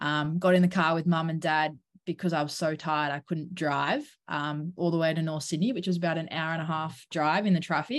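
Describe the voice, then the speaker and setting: A woman with an Australian accent, fairly low in pitch, at a fairly quick pace with fairly even intonation, against a quiet background. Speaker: professional cricketer. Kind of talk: interview. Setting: at home.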